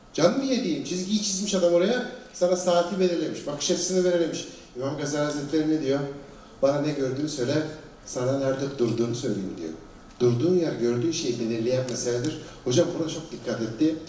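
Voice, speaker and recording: A man at a fairly quick pace with lively intonation, amid light background noise and audible room echo. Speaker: panel moderator. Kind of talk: panel discussion commentary. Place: stage.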